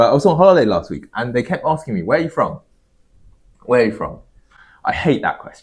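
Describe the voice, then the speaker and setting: A man with a London accent talks at a very fast pace, yet with long, frequent pauses. His loudness swings widely. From London, England. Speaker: podcast co-host. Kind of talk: casual chat.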